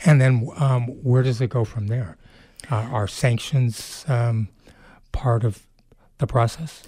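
A man speaks at a very slow pace with long, frequent pauses and fairly even intonation, in a dark, mellow, somewhat breathy tone. The recording is very clean, with a silent background. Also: medium pitch for a man. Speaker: radio host. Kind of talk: radio interview. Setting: radio studio.

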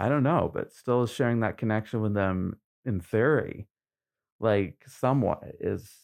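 A man at a very slow pace, dry and close with no echo, on a very clean recording with a silent background. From Maine (Trenton). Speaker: musician. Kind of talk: interview. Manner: halting.

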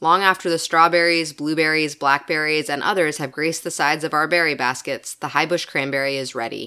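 Her pitch very deep and low, a woman talks at a fairly quick pace with a bright, sharp tone. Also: very clean recording, silent background. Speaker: nature podcast host. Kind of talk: nature documentary narration, read from a script in a calm, measured, literary style. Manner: formal, polished, scripted delivery.

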